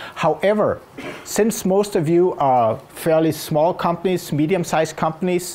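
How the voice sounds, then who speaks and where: This man talks at a moderate pace with a fairly high pitch and a Danish accent. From Denmark. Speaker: innovation consultant and speaker. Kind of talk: conference talk.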